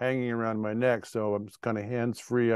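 The sound is dry with no echo as a man speaks in a monotone, flat intonation. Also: quiet background. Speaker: presenter. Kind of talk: lecture. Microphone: video call.

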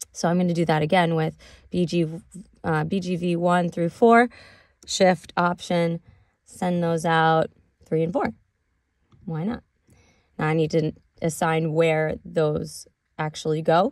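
The delivery is very slow, with long, frequent pauses and fairly even intonation. The sound is dry with no echo, against a quiet background. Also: woman, fairly low pitch for a woman. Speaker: music production teacher. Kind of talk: tutorial. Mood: relaxed, casual.

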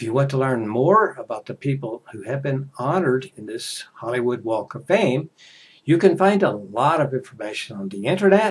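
A man at medium pitch with an American accent, big swings in loudness and very wide pitch swings. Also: moderate pace. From United States. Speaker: English teacher. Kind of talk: casual talk to camera for English learners. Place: home room. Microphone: headset.

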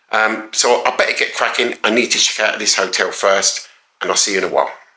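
Speaking very fast with very even loudness and fairly even intonation, a man with a fairly low pitch is heard against a quiet background with audible room echo. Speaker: travel vlogger. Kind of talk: casual vlog chat. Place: home room. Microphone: phone near.

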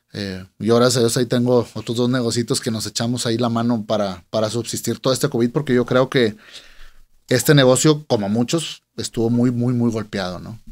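Against a quiet background, a man at medium pitch speaks fairly quickly with fairly even intonation. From Monterrey, Nuevo León, Mexico. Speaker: music event promoter; guest. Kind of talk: casual interview. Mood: relaxed, conversational. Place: studio. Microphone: studio mic.

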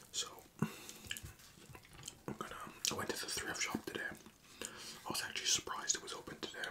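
A man whispers at a moderate pace. His tone is relaxed. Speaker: ASMR content creator. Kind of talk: casual talk to camera. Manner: whispered, relaxed. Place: home room.

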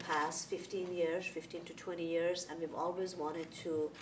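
A woman with a fairly low pitch speaks in a flat monotone while noticeable noise runs in the background. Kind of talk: meeting presentation. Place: meeting room.

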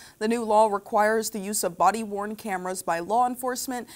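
A woman speaks in an unremarkable speaking voice at medium pitch. Her pace is fairly quick, with ordinary pitch variation. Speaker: news co-anchor. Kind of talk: television newscast. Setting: TV studio. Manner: cheerful, bubbly in chat.

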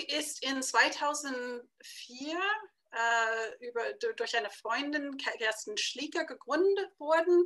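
With a bright, sharp tone and lively intonation, a woman speaks very slowly at a high pitch against a quiet background. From United States. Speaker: publisher. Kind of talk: interview. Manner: halting, many fillers. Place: home room. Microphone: webcam.

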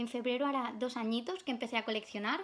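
A woman with a high pitch talks at a very fast pace, her pitch varying in an ordinary way. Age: 20s. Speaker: YouTuber, collector; collector vlogger. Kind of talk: casual vlog. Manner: hesitant with many fillers. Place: home room. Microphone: phone near.

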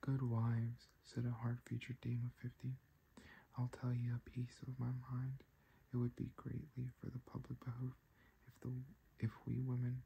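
Someone soft-spoken talks at a moderate pace over light background noise. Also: man. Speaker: ASMR creator. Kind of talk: sleep story reading. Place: home room.

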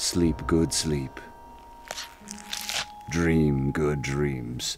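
Clear background noise accompanies a man with a very deep, low pitch and fairly even intonation. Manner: soothing, gentle.

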